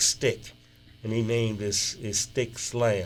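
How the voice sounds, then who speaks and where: With music in the background, a man with a Southern US accent speaks at medium pitch. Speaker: blues musician. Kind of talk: interview. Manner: casual, relaxed.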